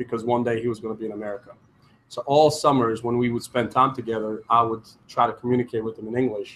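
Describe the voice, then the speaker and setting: This man talks at a fairly quick pace. He speaks with a Croatian accent. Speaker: entrepreneur. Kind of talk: conference talk. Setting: stage with audience.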